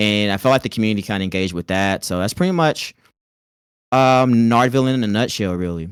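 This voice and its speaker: With an American accent, a man speaks at a fairly low pitch in a dry, close sound with no echo. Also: very clean recording, silent background. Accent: Southern twang, fading somewhat. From US South, rural North Carolina. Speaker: content creator. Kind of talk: casual chat.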